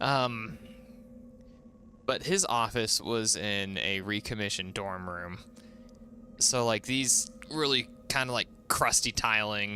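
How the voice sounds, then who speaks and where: A man with an American accent talks at a very slow pace and a fairly low pitch. His pitch varies an ordinary amount, and music plays in the background. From US West, southeast Idaho (Pocatello). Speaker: gaming streamer. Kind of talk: casual live stream chat.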